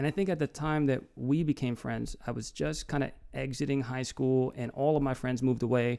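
At a moderate pace, a man talks in a plain, everyday voice at medium pitch. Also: fairly even intonation. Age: 30s. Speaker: podcast host. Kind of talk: casual chat.

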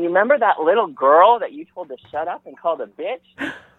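A man cackles in a put-on character voice, high-pitched and swinging very widely in pitch, at a fairly quick pace. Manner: cackling, gleeful.

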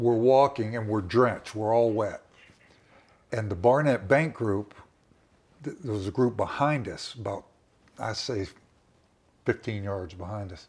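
A man speaks at a fairly slow pace with long, frequent pauses and big swings in loudness. His pitch is medium, with ordinary pitch variation. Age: 60s. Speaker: survivor telling his story. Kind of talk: personal interview storytelling. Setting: recorded conversation in a home.

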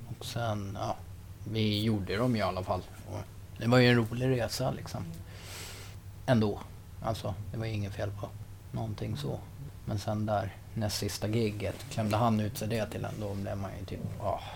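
Heard with audible room echo, a man with a fairly low pitch and vocal fry speaks at a moderate pace in fairly even intonation, taking long, frequent pauses. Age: 30s. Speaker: rock musician. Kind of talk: casual interview. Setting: in person in Enköping.

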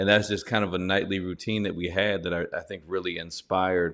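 A man's very deep, low voice in a monotone, flat delivery at a moderate pace. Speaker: professor and author. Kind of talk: interview conversation. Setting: video call.

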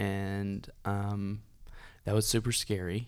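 A man with a Tennessee accent, fairly low pitch and monotone, flat intonation, in a very clean recording with a silent background. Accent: Southern US (Tennessee). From US South, Dunlap, Tennessee. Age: 20s. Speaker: amputee and musician. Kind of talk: casual interview.

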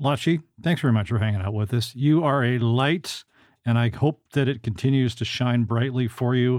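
This man speaks in a Canadian accent with a normal speaking voice and ordinary pitch variation. His pace is moderate and his loudness stays very even. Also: medium pitch for a man. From Canada. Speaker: podcast host. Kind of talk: casual interview.

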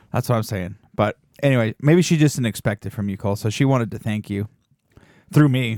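At a fairly quick pace and in an animated tone, the voice moves with ordinary pitch variation on a very clean recording with a silent background. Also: man, medium pitch for a man. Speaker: podcast host. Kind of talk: casual comedy chat. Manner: animated, joking.

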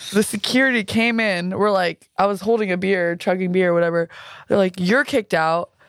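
A fairly quick woman's voice at medium pitch, with ordinary pitch variation, very even loudness, and a very clean recording over a silent background. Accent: Southern California. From California. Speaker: musician and music video maker. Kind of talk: casual chat. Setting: studio, in person. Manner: laid-back, playful.

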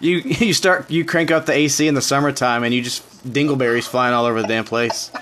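Over noticeable background noise, a man with a Southern US accent talks at a fairly quick pace with hardly any pauses, his pitch fairly high and his pitch variation ordinary. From Tennessee. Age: 30s. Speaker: podcast host. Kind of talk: casual chat.

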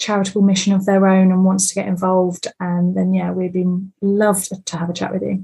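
A woman's dark, mellow, somewhat breathy voice holds a flat, monotone intonation. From south-east England, Bexhill-on-Sea. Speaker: property investor. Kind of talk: interview.

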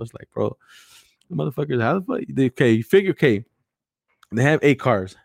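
Speaking at a fairly quick pace with vocal fry, a man at a medium pitch sounds animated, his intonation lively in a dry, close sound with no echo. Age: 30s. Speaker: podcast host. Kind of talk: casual chat. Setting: live stream.

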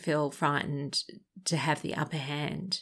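In an Australian accent, a woman speaks on a very clean recording with a silent background. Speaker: podcast host, abuse survivor advocate. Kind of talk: advice podcast monologue.

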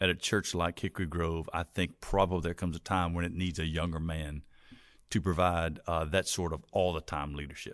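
In a very clean recording with a silent background, a man talks at a fairly quick pace in a very deep, low voice with monotone, flat intonation. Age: 50s. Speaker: pastor. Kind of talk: casual chat.

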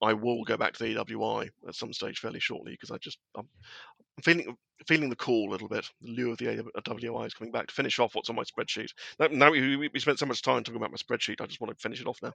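A man with a southern English accent talks at a very fast pace with big swings in loudness, in a dry, close sound with no echo and a quiet background. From southern England. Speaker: wargaming blogger. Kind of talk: casual chat.

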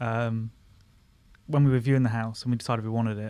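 Very fast and in a flat monotone, a man with a southern English accent speaks at a medium pitch on a very clean recording with a silent background. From Surrey, south-west London, England. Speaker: former comedian, friend of host. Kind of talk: casual chat. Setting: studio. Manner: calm.

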